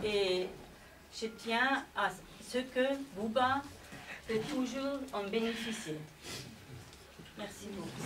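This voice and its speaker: At a very slow pace with long, frequent pauses, a woman with a non-native accent and a fairly high pitch speaks with ordinary pitch variation, amid noticeable background noise and audible room echo. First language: not French (speaking French). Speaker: widow or partner of the deceased, speaker at memorial. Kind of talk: memorial tribute speech. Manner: halting.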